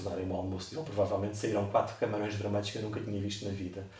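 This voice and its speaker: A man with a Lisbon accent, fairly low in pitch, amid audible room echo and noticeable background noise. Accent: European Portuguese, Lisbon area. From Portugal, Cascais. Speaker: marine biology researcher. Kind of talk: interview.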